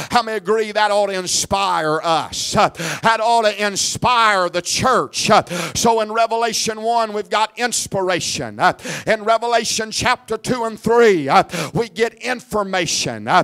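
The intonation stays fairly even at a fairly slow pace. The background is quiet. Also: man. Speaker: evangelist preacher. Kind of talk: revival sermon building to a call-and-response climax. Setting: church service with congregation. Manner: fervent, rhythmic repetition with rising Pentecostal intensity; exhorting the crowd, prompting amens. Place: church. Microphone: handheld.

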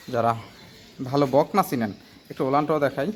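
A man with an ordinary speaking voice speaks at a medium pitch with ordinary pitch variation. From Bangladesh, Cumilla (Debidwar). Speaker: dairy farmer and heifer seller. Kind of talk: sales pitch.

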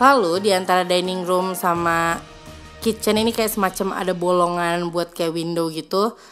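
Music plays behind a woman speaking at a medium pitch. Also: moderate pace. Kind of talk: casual talk to camera, house tour. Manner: upbeat.

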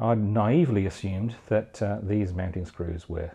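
With a dark, mellow tone, a slightly husky edge and vocal fry, a man speaks at a fairly low pitch and a moderate pace.

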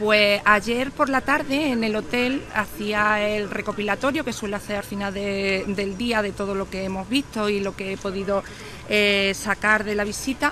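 A woman speaks at a medium pitch and a fairly slow pace, with fairly even intonation. The sound is dry with no echo, and there is light background noise. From Spain, Córdoba province (Andalusia). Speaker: care home manager. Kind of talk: interview. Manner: halting, with frequent repetitions and fillers. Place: street. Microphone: phone near.

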